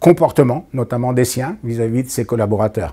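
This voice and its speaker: The man's voice carries a dark, mellow tone. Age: 70s. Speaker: business consultant. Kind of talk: interview answer.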